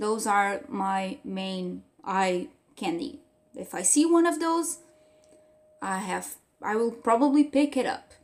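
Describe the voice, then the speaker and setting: A woman talks in a Portuguese accent. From Portugal. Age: 20s. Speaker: book reviewer. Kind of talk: casual vlog review. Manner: hesitant, with fillers.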